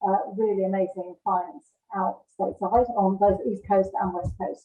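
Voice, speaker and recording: Her intonation fairly even, a woman with a medium pitch speaks at a fairly slow pace. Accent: British. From UK. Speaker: marketing director. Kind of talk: interview.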